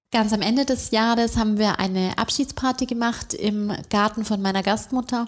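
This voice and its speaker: The speaker is a woman with fairly even intonation and a moderate pace. Her recording is very clean, with a silent background. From Bavaria, Augsburg. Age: 30s. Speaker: bank marketing employee. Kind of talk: interview.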